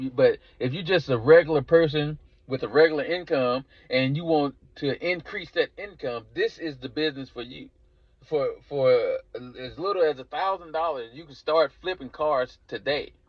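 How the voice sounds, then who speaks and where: Talking at a moderate pace with a strong Southern US accent, a man with a fairly high pitch shows ordinary pitch variation and big swings in loudness. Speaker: car leasing business coach. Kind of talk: course introduction sales pitch. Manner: halting with frequent repetitions and fillers.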